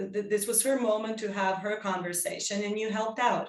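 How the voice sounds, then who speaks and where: A woman's fairly high voice carries audible echo from the room. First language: Serbian and English (bilingual). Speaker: psychodrama workshop leader. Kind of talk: workshop discussion. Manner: halting.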